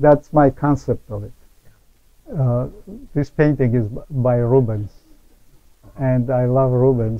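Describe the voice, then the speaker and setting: A man with an Armenian accent speaks at medium pitch and a very slow pace. His intonation is fairly even, broken by long, frequent pauses. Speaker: painter. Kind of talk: interview. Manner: halting. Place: hall. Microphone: lapel.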